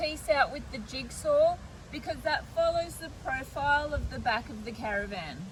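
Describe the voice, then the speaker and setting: Against noticeable background noise, a woman speaks at a moderate pace in a high pitch with lively intonation. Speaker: DIY builder and vlogger. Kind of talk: DIY vlog narration. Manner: casual, relaxed.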